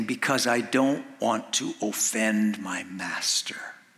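A man puts on a character voice with a sinister tone, his pitch medium. He goes at a fairly slow pace over light background noise.

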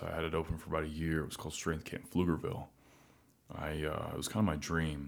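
Very fast, very deep, low-pitched male speech with an American accent. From Arkansas, US South. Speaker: podcast guest. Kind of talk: casual chat.

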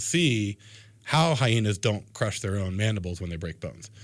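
With an American accent and a normal speaking voice, a man talks at a fairly quick pace in a fairly low pitch with lively intonation, recorded very cleanly over a silent background. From Florida coast, US. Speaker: anatomy professor. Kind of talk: radio interview.

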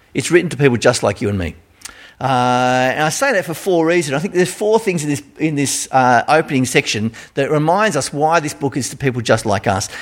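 A man's fairly high voice with an Australian accent, lively intonation, and a fairly quick pace. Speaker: pastor. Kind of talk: sermon. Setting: church.

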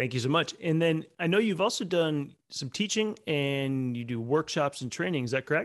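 Lively intonation and a moderate pace in a man's plain, everyday voice, pitched fairly high. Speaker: podcast host. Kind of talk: interview conversation.

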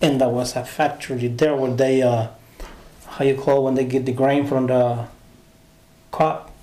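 A man with a Honduran accent speaks at medium pitch and a moderate pace, with long, frequent pauses. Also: fairly even intonation. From Honduras. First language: Spanish. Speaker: translator. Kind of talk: casual interview, personal storytelling.

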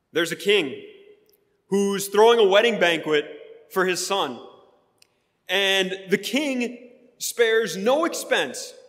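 Speaking very slowly in an American accent with lively intonation, the voice leaves long, frequent pauses amid audible room echo. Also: man, high pitch for a man. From US Midwest, Wisconsin. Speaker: pastor. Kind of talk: sermon.

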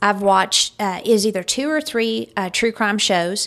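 Her tone is bright and sharp. The woman speaks at a moderate pace. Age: 40s. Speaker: podcast host. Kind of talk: casual chat.

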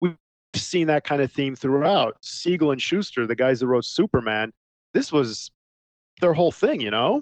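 Here a man talks in a normal speaking voice, fairly high in pitch, with lively intonation. His moderate pace comes through a dry, close sound with no echo. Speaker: podcast host reviewing sci-fi films. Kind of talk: casual chat.

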